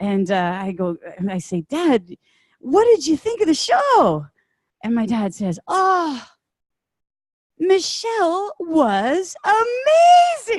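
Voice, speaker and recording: Extremely high in pitch, a woman with a Canadian accent speaks at a very slow pace. Her pitch swings very widely. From Ontario, Canada. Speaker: singer-songwriter. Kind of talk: personal storytelling to an audience. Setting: conference stage.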